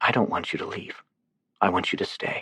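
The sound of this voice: A husky, put-on character voice from a man, fairly quick in pace, with a dry, close sound and no echo.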